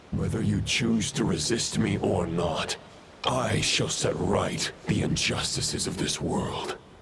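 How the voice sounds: Slow and fairly low, a man's put-on character voice carries vocal fry and a fairly bright tone, with audible room echo. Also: ordinary pitch variation.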